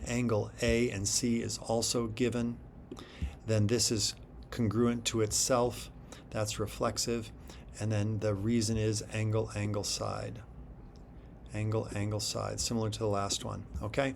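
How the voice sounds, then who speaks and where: Heard with audible room echo, a man talks at a fairly slow pace with long, frequent pauses. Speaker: math teacher. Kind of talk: tutorial. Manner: casual.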